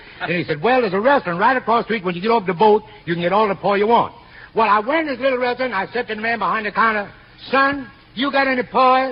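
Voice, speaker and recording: A man's high-pitched, very fast speech with lively intonation and an American accent, over noticeable background noise. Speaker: veteran singer and entertainer guest. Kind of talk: radio comedy routine with banter. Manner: boastful, comically mock-humble, lively storytelling.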